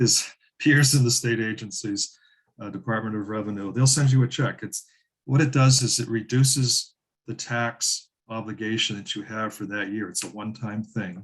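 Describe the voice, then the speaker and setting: A man with a plain, everyday voice, medium pitch, moderate pace and ordinary pitch variation. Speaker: land conservation expert. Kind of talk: webinar presentation.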